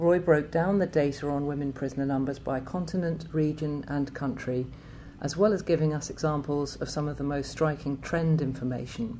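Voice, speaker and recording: Very deep and low in pitch, a woman's dark, mellow voice carries vocal fry and fairly even intonation. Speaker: research institute director and podcast host. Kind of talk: podcast presentation.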